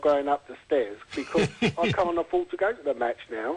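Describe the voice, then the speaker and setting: A man with a plain, everyday voice, fairly high pitched, lively in intonation, at a moderate pace. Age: 40s. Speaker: football fan with arthritis. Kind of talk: radio interview answer.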